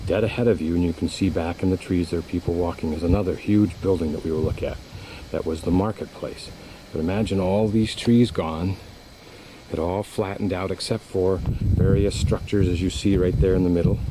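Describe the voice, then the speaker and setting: A man's very deep, low voice at a fairly quick pace, with fairly even intonation over noticeable background noise. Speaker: travel vlogger. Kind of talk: self-guided tour narration. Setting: outdoors.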